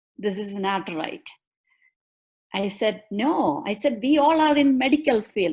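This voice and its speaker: A woman with a Keralite accent talks at a moderate pace, her intonation lively. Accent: Indian (Malayali) accent, self-described bad. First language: Malayalam. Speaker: bereaved mother and justice advocate. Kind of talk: testimony. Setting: live stream video call. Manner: emotional, halting.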